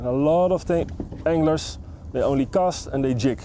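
The man's voice sounds dry with no echo, and there's noticeable background noise. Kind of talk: tutorial. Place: boat.

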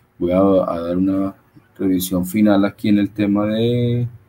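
Over light background noise, a man with a fairly low pitch speaks with fairly even intonation. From Colombia. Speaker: webinar host. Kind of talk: webinar moderation. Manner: halting, repeats words. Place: home room. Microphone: video call.

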